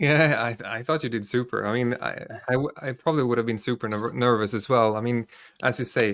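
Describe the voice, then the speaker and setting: On a very clean recording with a silent background, a man with a Swedish accent talks fairly quickly at a medium pitch with fairly even intonation. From Sweden. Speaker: podcast host. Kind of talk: interview. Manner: halting.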